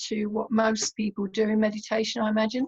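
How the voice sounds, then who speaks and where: A woman speaks fairly quickly at a fairly high pitch, somewhat breathy. The sound is dry and close, with no echo. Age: 70s. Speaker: meditation teacher and therapist. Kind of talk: interview. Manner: hesitant with fillers.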